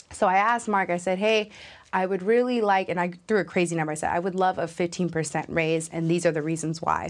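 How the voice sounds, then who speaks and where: Talking at a very fast pace, a woman uses fairly even intonation. She has fairly low pitch and an American accent. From Los Angeles, California. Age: 20s. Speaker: young tech professional. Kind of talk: interview conversation.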